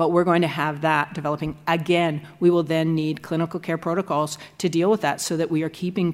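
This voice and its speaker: A woman with an unremarkable speaking voice, a fairly low pitch and a fairly quick pace. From Canada, Nova Scotia. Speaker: law professor. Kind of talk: lecture. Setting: stage with audience.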